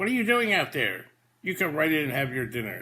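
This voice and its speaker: Putting on a character voice, a man talks at a fairly quick pace in a fairly high pitch with very wide pitch swings. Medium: read story. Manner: jovial, playful.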